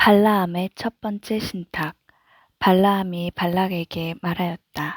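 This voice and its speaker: A woman speaks at a medium pitch, very slowly, in a monotone, flat way. Her tone is calm and soothing, and the recording is very clean with a silent background. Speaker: mother reading aloud. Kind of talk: Bible reading. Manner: calm, soothing.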